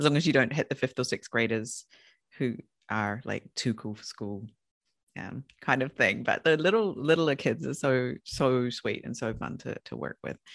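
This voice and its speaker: Someone with a New Zealand accent speaks at a moderate pace against a quiet background. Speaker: podcast host and consultant. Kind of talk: interview, casual chat.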